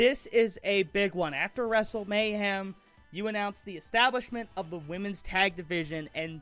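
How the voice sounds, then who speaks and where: Projecting a raised voice over music in the background, a man speaks at a moderate pace with a high pitch and ordinary pitch variation. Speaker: amateur wrestling commentator. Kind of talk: wrestling commentary predictions.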